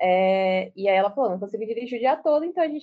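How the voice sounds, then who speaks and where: A woman's fairly quick speech with very wide pitch swings. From Brazil, Salvador, Bahia. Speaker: law student and activist. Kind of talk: casual interview.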